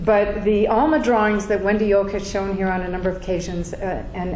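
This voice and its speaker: A woman speaks at a fairly quick pace in an American accent with fairly even intonation. Noticeable background noise and audible room echo fill the recording. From Virginia, US South. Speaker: spiritual speaker, scholar. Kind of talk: talk to an audience. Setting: room with audience. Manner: halting, many fillers.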